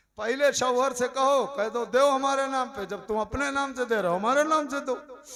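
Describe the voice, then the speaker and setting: The voice is loud, with ordinary pitch variation. It moves at a moderate pace with hardly any pauses. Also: man, extremely high pitch for a man. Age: 60s. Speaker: Islamic preacher. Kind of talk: sermon.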